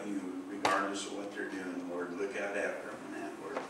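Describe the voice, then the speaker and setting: A man's voice in audible room echo amid loud background noise. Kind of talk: prayer then sermon talk. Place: church.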